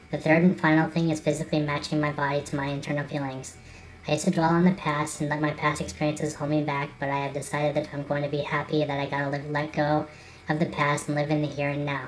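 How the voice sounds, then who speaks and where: Very fast, monotone, flat delivery over music in the background. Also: woman, very deep, low pitch for a woman. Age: 20s. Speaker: vlogger. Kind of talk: personal vlog monologue.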